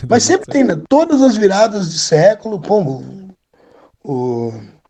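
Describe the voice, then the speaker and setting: Very wide pitch swings in a man's dark, mellow-toned voice. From Rio Grande do Sul, Brazil (Charqueadas). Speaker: rock singer and history teacher. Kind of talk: casual interview chat. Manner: trained, controlled speaking voice; animated.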